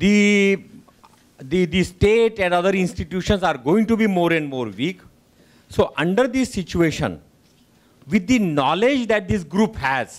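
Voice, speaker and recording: A man's high-pitched voice with lively intonation at a fairly slow pace. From India, Delhi. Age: 60s. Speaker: audience member. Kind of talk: audience question.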